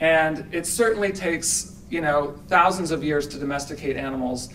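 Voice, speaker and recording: The speaker goes at a fairly slow pace with ordinary pitch variation. Light background noise can be heard. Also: man. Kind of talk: conference talk. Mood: earnest, persuasive advocacy. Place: hall. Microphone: podium.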